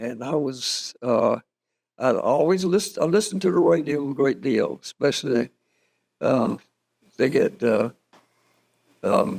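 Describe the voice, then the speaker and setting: Speaking with a North Carolina accent, a man moves at a fairly slow pace with long, frequent pauses. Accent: Southern US, North Carolina. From Moore County, North Carolina. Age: 80s+. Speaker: Army reserves veteran. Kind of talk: interview answer. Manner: hesitant, slow, with fillers.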